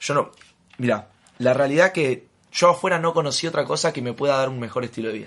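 Against a quiet background, a man speaks with a Rioplatense accent. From Argentina. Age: 20s. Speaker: network marketing leader. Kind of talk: interview.

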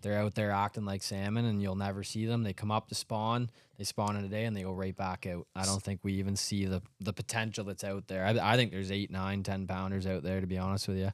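In a Canadian accent, a man speaks at a very fast pace with a fairly low pitch and monotone, flat intonation, the sound dry and close with no echo on a very clean recording with a silent background. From Ontario, Canada. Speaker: professional bass angler. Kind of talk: casual chat. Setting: studio.

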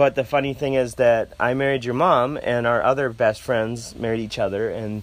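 A man with an ordinary speaking voice talks at a medium pitch and a moderate pace, his intonation fairly even. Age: 40s. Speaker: parent of host. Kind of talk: casual interview.

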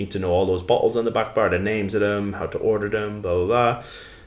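This is a man speaking. He has an Irish accent. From Ireland, County Carlow. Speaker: drinks brand advocate, former bartender. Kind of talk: casual interview. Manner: hesitant, many fillers.

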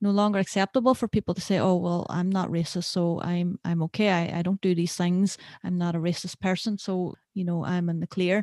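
A woman talks at a fairly quick pace with hardly any pauses, in a dark, mellow tone and a flat, monotone delivery. The recording is very clean and dry, close with no echo, over a silent background. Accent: Derry. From Northern Ireland, Derry. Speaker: podcast host, filmmaker. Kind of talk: interview podcast chat.

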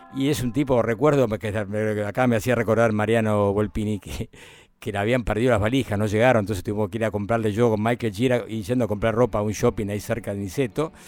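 With a Rioplatense accent, a man talks very fast in a fairly low voice with fairly even intonation. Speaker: radio host. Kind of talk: casual radio presenting. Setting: radio studio.

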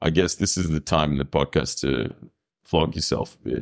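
A man with an Australian accent speaks at a moderate pace in a very deep, low pitch, his intonation fairly even and his voice showing vocal fry. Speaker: podcast host. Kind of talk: casual interview; scripted intro and outro.

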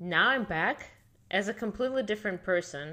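A woman with a Russian accent talks at a moderate pace in a bright, sharp tone. The recording is very clean, with a silent background. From Siberia, Russia. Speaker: immigration and passport consultant, former sailor. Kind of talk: interview.

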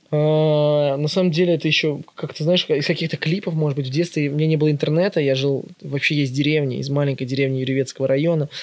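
Talking at a very fast pace with hardly any pauses, a man delivers his words in a fairly high pitch and a monotone, flat intonation. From Russia, Ivanovo region (Yuryevets). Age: 20s. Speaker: vintage shop owner. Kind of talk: casual chat.

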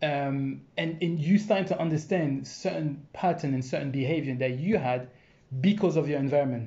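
A somewhat breathy voice speaks at a moderate pace with ordinary pitch variation, with audible room echo. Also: man, fairly high pitch for a man. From France. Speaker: dancer and entrepreneur. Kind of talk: casual chat.

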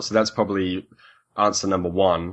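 In a British accent, a man talks at a fairly low pitch. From UK. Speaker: respiratory therapist. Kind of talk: interview, technical explanation.

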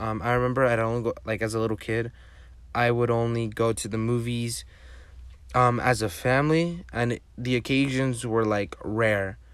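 The intonation stays fairly even. The speaker has a Spanish accent. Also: man, medium pitch for a man, moderate pace. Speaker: podcast host. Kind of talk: solo podcast monologue. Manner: casual, halting with frequent fillers.

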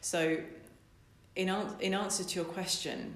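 A woman talks at a fairly low pitch with fairly even intonation. Room echo is audible. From Essex, England. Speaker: business coach. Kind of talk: interview.

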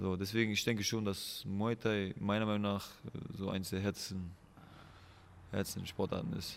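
With long, frequent pauses, a man speaks at a fairly low pitch. His intonation is monotone and flat. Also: moderate pace. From Germany, Aachen. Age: 20s. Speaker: MMA fighter. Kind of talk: casual interview.

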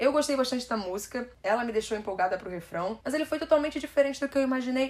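With noticeable background noise behind her, a woman speaks in an animated tone with lively intonation. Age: 20s. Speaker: podcast host. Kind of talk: solo podcast music review.

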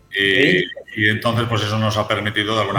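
A man with a Spanish accent speaks at a fairly low pitch. His intonation is monotone and flat, with noticeable background noise. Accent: Spanish (Spain). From Spain, Galicia (Santiago de Compostela). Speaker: hotel executive. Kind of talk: interview. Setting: studio.

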